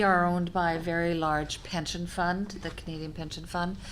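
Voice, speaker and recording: A woman speaks with audible room echo around her. Her pace is moderate and her pitch fairly low. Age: 60s. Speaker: senior leader in long-term care. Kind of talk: panel discussion.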